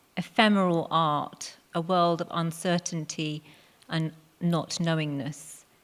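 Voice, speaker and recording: In a very clean recording with a silent background, a woman with a London accent speaks at a fairly low pitch with fairly even intonation. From England, Hounslow, west London. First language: Punjabi. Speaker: poet. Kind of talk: talk to live audience.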